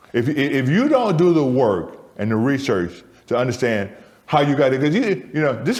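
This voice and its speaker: Audible room echo surrounds a man with an American accent and lively intonation. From US Midwest, Michigan. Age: 60s. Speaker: theatre co-founder. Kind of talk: conversational interview. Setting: soundstage. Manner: repetitive, stammering restarts.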